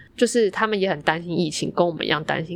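In a very clean recording with a silent background, a woman with a fairly low pitch and a plain, everyday voice speaks with ordinary pitch variation. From Yilan, Taiwan. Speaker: podcast co-host. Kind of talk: casual chat.

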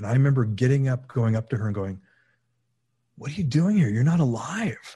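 A man talks with a West Coast accent at a fairly quick pace. His medium-pitched voice is dark, mellow and somewhat breathy. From California, San Fernando Valley. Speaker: documentary filmmaker. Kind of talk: interview conversation.

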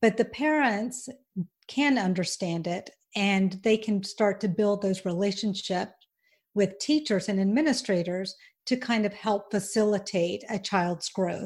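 A somewhat breathy woman with a Southern US accent speaks at a fairly slow pace, with medium pitch and ordinary pitch variation, on a very clean recording with a silent background. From US South, Alabama and Georgia. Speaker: podcast host, former educator. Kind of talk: interview.

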